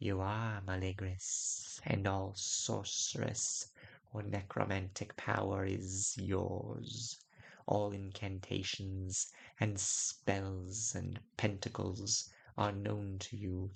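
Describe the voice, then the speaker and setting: Hissing runs under a man's put-on character voice, which is fairly low and very slow. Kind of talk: weird fantasy audiobook. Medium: read story. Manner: slow, measured, sibilant.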